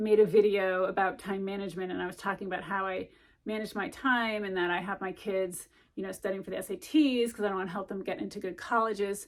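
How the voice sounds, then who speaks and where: A woman talks at a fairly quick pace with a medium pitch and ordinary pitch variation. The recording is very clean, with a silent background. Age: 50s. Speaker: channel host and mother. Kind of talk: personal vlog monologue. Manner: halting, many restarts and fillers.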